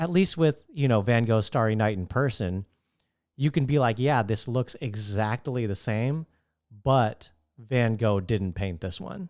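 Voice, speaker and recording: Recorded very cleanly against a silent background, a man with a medium pitch speaks at a fairly slow pace with lively intonation. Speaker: stand-up comedian, podcaster. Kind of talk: solo podcast monologue. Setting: talking to camera at home. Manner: soft-spoken.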